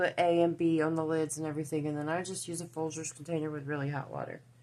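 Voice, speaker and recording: A woman with a Southern US accent talks at a very fast pace in a fairly low pitch. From US South (Georgia and Tennessee). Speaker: crafting YouTuber. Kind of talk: tutorial. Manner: casual, halting.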